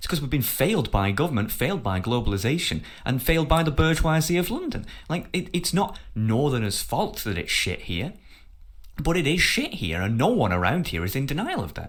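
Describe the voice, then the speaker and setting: Here a man with a northern English accent talks fairly quickly at a fairly high pitch, with vocal fry. His pitch swings very widely. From northern England. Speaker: podcast host. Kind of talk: heated debate. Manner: animated.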